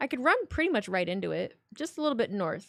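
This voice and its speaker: Her intonation is lively and her pace moderate. The woman speaks with an American accent. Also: dry, close sound with no echo. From northern Indiana, US Midwest. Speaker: streamer. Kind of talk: live stream chat with viewers. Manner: casual, repetitive with false starts.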